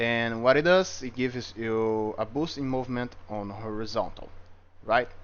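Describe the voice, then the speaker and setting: Speaking with a slight non-native accent, a man keeps a medium pitch, ordinary pitch variation and a moderate pace. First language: not English. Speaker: gaming video creator. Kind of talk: game tutorial review. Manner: casual, some hesitations.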